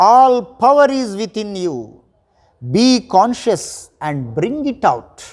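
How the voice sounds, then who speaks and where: A man talks with a high pitch. His intonation is lively. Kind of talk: motivational pep talk reading Vivekananda's quotes in English and Telugu. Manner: forceful, rousing, declamatory, repeating key words for emphasis.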